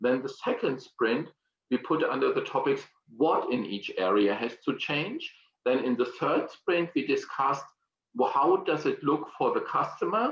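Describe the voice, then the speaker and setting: A strong German accent at a moderate pace. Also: man. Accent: German accent, self-described as strong. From Germany. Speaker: exhibition industry consultant. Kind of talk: online presentation. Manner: hesitant, with fillers and repetitions.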